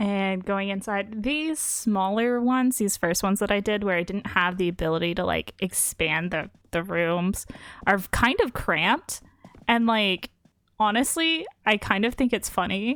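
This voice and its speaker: A woman's plain, everyday voice at a medium pitch and fairly slow pace, with ordinary pitch variation. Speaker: video game performer showcasing her designs. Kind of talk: casual chat.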